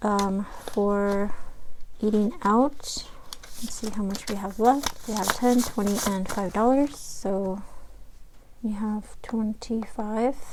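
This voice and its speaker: Soft-spoken, a woman talks at a very slow pace with long, frequent pauses. Her voice is fairly high in pitch, with fairly even intonation. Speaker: budgeting vlogger. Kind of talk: casual tutorial.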